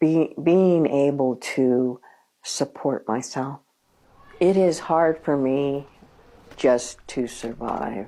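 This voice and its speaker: A woman speaks very slowly, with long, frequent pauses. Her very deep, low voice has a dark, mellow tone and ordinary pitch variation. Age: 70s. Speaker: retiree looking for work. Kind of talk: documentary interview.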